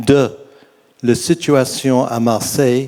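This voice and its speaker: A man speaks at a very slow pace in a medium pitch, his tone dark and mellow. His intonation stays monotone and flat. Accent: English. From England. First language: English (speaking French). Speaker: audience member, retired magistrate. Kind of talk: audience question. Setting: stage with audience. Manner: halting.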